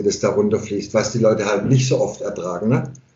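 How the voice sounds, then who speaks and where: A man talks at a fairly quick pace with fairly even intonation. Audible room echo surrounds his voice. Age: 50s. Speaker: hairdresser and barber. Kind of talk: casual interview conversation. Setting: remote internet call from home.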